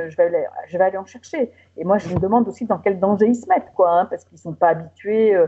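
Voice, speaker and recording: Her voice is somewhat breathy. This woman's intonation is lively. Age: 60s. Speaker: patient association president. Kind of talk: interview testimony.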